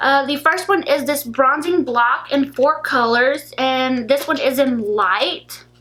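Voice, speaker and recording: A bright, sharp tone at a very slow pace, with ordinary pitch variation and hardly any pauses. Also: woman, high pitch for a woman. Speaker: beauty vlogger. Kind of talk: product haul video. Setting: in her room. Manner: casual, filler-heavy.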